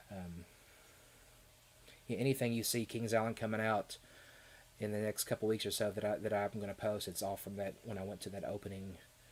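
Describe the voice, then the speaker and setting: A man with a slight Southern Kentucky accent talks at a fairly quick pace in a fairly low, flat monotone, leaving long, frequent pauses, on a very clean recording with a silent background. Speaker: theme park YouTuber. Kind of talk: live stream chat. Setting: live stream. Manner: hesitant, many fillers and repeats.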